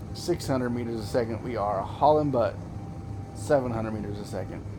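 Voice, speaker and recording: Noticeable background noise and audible echo from the room surround a man whose medium-pitched voice varies in an ordinary way. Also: fairly quick pace. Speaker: gaming video creator. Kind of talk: gameplay commentary. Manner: casual, halting with self-corrections.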